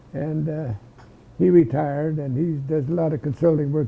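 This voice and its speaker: This man's fairly high voice moves with fairly even intonation. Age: 80s+. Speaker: war veteran. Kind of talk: oral history interview. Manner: halting.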